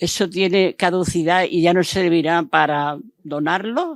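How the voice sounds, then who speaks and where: Very slow speech on a very clean recording with a silent background. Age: 80s+. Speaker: audience member. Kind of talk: audience question.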